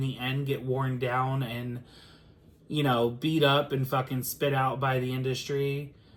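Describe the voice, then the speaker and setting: This man speaks with a Philadelphia accent. His voice is somewhat breathy. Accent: Philly. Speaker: music reaction reviewer. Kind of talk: casual review chat.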